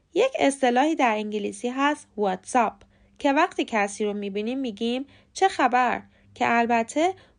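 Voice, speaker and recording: A woman speaks in an ordinary speaking voice, fairly high and with lively intonation, at a fairly slow pace. The background is quiet. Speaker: English pronunciation teacher, podcast host. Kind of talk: tutorial.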